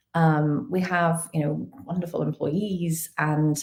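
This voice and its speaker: A woman with a fairly low pitch talks in a dark, mellow tone that is somewhat breathy, her intonation fairly even. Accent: British. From UK, earlier Kenya. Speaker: talent acquisition executive. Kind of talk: live webinar interview. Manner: frequent fillers (um, uh).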